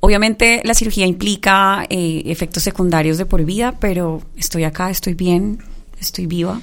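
Fairly even intonation from a woman at a medium pitch. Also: moderate pace. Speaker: announcer and singer. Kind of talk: live radio panel chat. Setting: radio studio.

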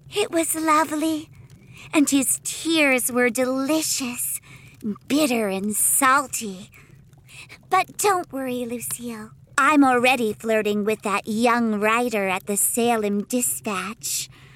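A put-on character voice, female-sounding and high-pitched, at a fairly slow pace. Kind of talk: comic audio drama. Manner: bubbly, excitable, sweetly macabre.

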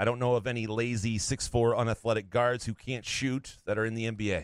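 A normal speaking voice moves along at a moderate pace. The recording is very clean, with a silent background. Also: man. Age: 40s. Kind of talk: casual chat.

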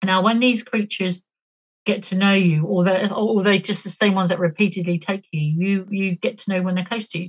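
A woman with a British accent talks at a fairly quick pace, using a medium pitch, fairly even intonation, and a somewhat breathy voice. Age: 50s. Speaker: author and alien abduction experiencer. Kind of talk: interview testimony.

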